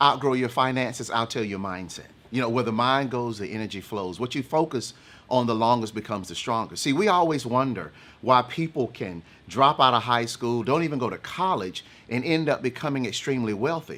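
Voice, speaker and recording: A man with a Southern US accent, medium pitch, lively intonation, a fairly quick pace and a bright, sharp tone. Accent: Southern twang. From eastern North Carolina. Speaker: motivational speaker. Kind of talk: casual chat.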